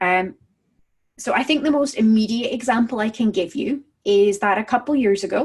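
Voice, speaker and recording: Somewhat breathy and fairly high in pitch, a woman talks at a moderate pace with lively intonation. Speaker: dog trainer blogger. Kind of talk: casual video blog talk.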